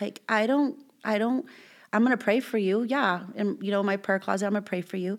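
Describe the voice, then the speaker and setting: On a very clean recording with a silent background, a plain, everyday voice with an American accent moves fairly quickly with ordinary pitch variation. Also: woman, medium pitch for a woman. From Southern California, Bloomington. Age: 30s. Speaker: guest sharing life story. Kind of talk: testimony.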